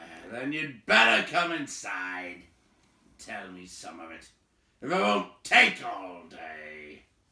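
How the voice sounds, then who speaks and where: A man puts on a gruff, raspy character voice with a fairly low pitch and very wide pitch swings. He speaks at a very slow pace. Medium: read story. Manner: gruff, blunt.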